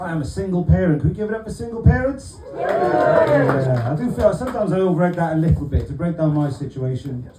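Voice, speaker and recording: A man with a Welsh accent talks at a very fast pace, fairly high in pitch with very wide pitch swings. Room echo is audible and background noise is noticeable. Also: hardly any pauses. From South Wales, Barry. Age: 40s. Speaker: stand-up comedian. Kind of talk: stand-up. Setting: stage with audience.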